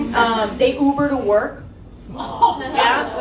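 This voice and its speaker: A woman talks with a Spanish accent. There is noticeable background noise and audible room echo. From Texas-Mexico border. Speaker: comedian. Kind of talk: stand-up. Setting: stage with audience.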